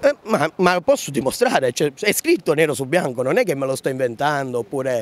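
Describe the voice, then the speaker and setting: Speaking at a fairly quick pace with hardly any pauses, a man uses a fairly high pitch and ordinary pitch variation in a dry sound with no echo. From Sicily. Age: 20s. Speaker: farmer. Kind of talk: street interview. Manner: animated. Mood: frustrated, aggrieved. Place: street. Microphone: handheld.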